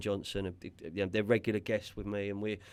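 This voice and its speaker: This man has a fairly low pitch. He speaks with a West London accent. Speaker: podcast host. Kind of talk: casual chat. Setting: studio. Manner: halting, repeats words.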